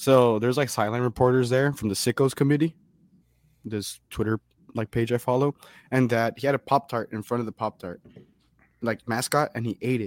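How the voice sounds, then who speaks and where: A man speaks at a fairly quick pace, yet with long, frequent pauses. The sound is dry and close, with no echo. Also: medium pitch for a man, very clean recording, silent background. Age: 20s. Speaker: sports podcast guest. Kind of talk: casual chat. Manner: animated.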